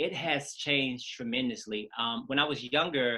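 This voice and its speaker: A man with an American accent talks at a moderate pace in a medium-pitched voice. His intonation is lively. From US South, Atlanta, Georgia. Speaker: choreographer. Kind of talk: interview conversation. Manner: casual, with many fillers.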